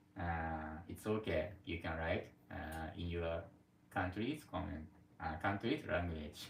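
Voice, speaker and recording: Recorded with audible room echo, a man with a Japanese accent speaks at a very deep, low pitch. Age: 40s. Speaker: live streamer. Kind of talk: casual chat. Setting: live stream from home. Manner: halting.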